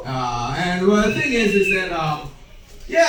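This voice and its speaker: A man talks fairly slowly while noticeable background noise plays behind him. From Highland Park, Illinois, north of Chicago. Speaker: stand-up comedian. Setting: stage. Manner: halting, lots of fillers and restarts.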